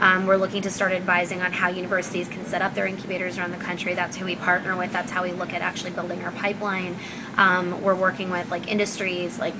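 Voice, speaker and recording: Amid noticeable background noise and audible room echo, a woman speaks very fast in a monotone, flat way. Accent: American. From Pakistan. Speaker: startup founder and CEO. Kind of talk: interview. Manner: many filler words (um, like).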